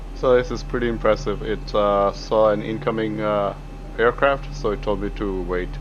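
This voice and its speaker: Music plays in the background as a man speaks. His pace is moderate. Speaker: flight sim hobbyist reviewer. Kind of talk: casual software review voice-over.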